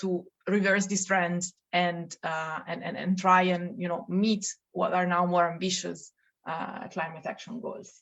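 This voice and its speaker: The speaker talks at a fairly slow pace with an Italian accent. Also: woman. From Italy. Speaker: policy researcher. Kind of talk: podcast interview.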